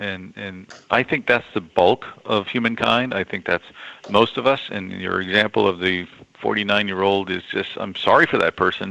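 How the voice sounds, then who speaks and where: With an unremarkable speaking voice, a man talks at a moderate pace and fairly low pitch, his intonation fairly even. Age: 60s. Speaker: economist. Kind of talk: interview.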